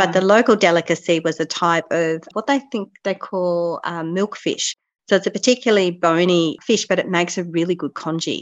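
With an Australian accent, a woman speaks at a fairly quick pace with hardly any pauses, using a fairly low pitch and ordinary pitch variation. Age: 40s. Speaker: podcast host. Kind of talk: casual chat.

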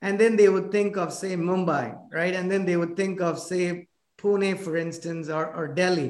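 Speaking with an Indian accent, a man has a high pitch. His intonation is fairly even and his pace moderate. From South India (Chennai). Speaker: podcast host, business owner. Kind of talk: casual interview. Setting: video call. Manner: halting.

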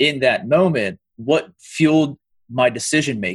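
A somewhat breathy voice with an American accent. The intonation is lively and the pace fairly slow. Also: man. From Pennsylvania, US. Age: 30s. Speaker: teacher. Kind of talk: casual chat.

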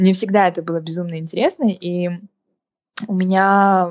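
A woman at medium pitch and a moderate pace, a plain, everyday voice. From Kazakhstan, Karaganda. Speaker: entrepreneur. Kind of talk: casual interview chat.

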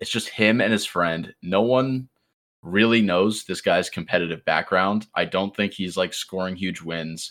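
On a very clean recording with a silent background, a man talks at a fairly slow pace in an unremarkable speaking voice, fairly low in pitch with ordinary pitch variation. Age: 20s. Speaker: gaming content creator. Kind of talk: casual chat.

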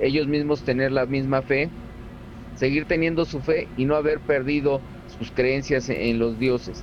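This voice belongs to a man. It rests at a medium pitch. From Cuba, Havana. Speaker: Cuban santería practitioner. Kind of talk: interview.

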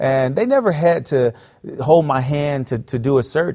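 On a very clean recording with a silent background, a man with an American accent speaks at a moderate pace in a medium pitch, his dark, mellow tone showing ordinary pitch variation. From US South, South Florida. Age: 30s. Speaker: pastor. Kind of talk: interview storytelling.

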